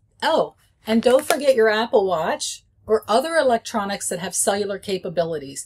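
At a moderate pace, a woman is speaking. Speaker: presenter. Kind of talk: tutorial. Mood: friendly, chatty. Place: office.

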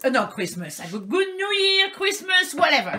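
This woman speaks at an extremely high pitch with a bright, sharp tone and big pitch swings.

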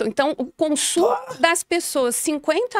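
A woman speaks at a very slow pace with lively intonation, and the sound is dry with no echo. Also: quiet background. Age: 40s. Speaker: gerontologist; guest. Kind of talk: interview. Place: studio. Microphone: studio mic.

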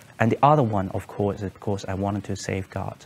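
A man in a Cantonese accent speaks at a fairly quick pace and fairly low pitch over light background noise. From Hong Kong. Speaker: former consulate staff, detainee; interviewee. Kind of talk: testimony. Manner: halting, many fillers and repetitions. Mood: calm, serious, reflective. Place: studio.

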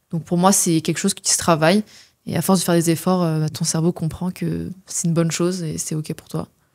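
A woman talks at a fairly quick pace in a fairly low voice with monotone, flat intonation. Her loudness swings a lot on a very clean recording with a silent background. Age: 20s. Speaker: natural health coach, co-host. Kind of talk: casual interview. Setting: studio.

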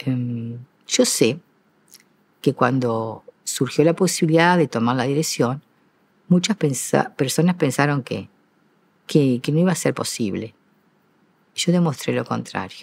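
A woman speaks with a very deep, low pitch. Her pace is fairly slow, with long, frequent pauses. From Uruguay. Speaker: retired school teacher and principal; retired school teacher. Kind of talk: interview. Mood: calm, reflective, proud. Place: stage. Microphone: lapel.

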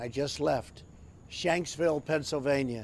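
A man talks with fairly even intonation over light background noise. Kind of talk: commemorative address. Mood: solemn, somber. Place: garden.

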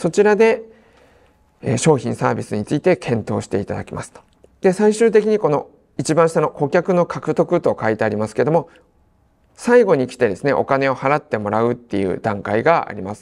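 Vocal fry runs through this fairly quick delivery, which has very wide pitch swings. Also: man. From Tsuchiura, Ibaraki, Japan. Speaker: seminar instructor, marketing consultant. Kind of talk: seminar lecture. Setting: seminar room with audience. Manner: filler-heavy, polite, formal.

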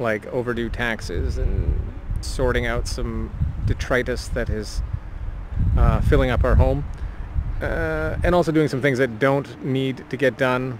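A man speaks at a fairly slow pace. The sound is dry with no echo, and there is noticeable background noise. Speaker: vlogger. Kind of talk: casual vlog chat. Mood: relaxed, reflective. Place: garden. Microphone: phone near.

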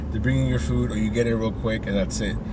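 Dry, echo-free recording of a man with noticeable background noise. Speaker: delivery driver vlogger. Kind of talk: casual vlog chat. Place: car. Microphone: phone near.

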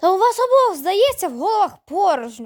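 A woman puts on a character voice at an extremely high pitch, her tone grumpy. She talks at a fairly quick pace with very wide pitch swings. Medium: read story. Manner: grumpy, snappish.

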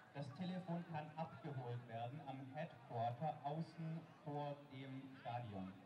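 Over noticeable background noise, a man speaks fairly slowly at a fairly high pitch. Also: ordinary pitch variation. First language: German. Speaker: event announcer. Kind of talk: announcement.

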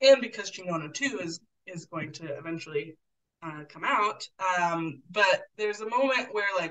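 A woman's plain, everyday voice with an American accent, medium pitch, lively intonation and a moderate pace. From US Pacific Northwest, Portland, Oregon. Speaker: community educator and cyclist. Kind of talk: casual interview.

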